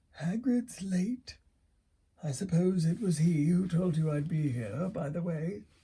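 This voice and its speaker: A put-on character voice from a man, pitched high, at a fairly slow pace. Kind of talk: bedtime story reading. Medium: read story. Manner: calm, gentle, gently humorous.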